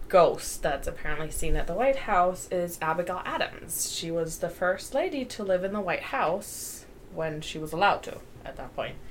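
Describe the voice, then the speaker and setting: A woman at a moderate pace, with audible room echo. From Germany. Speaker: podcast co-host. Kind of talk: casual chat.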